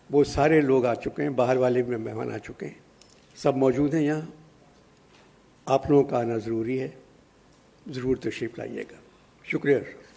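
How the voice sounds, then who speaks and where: With noticeable background noise behind him, a man talks in a fairly even intonation, broken by long, frequent pauses. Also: medium pitch for a man. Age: 80s+. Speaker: elderly literary figure at press conference. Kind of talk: press conference remarks. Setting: press conference.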